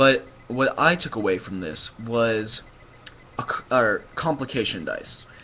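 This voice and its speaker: Noticeable background noise behind a medium-pitched male voice. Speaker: gaming vlogger. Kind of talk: casual explanation monologue. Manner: fast; halting, many fillers.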